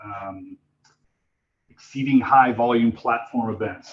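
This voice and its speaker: This man talks at a fairly slow pace, his pitch in the medium range. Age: 50s. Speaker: Salesforce architect giving a talk. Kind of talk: presentation at user group meetup. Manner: loud; hesitant, many fillers.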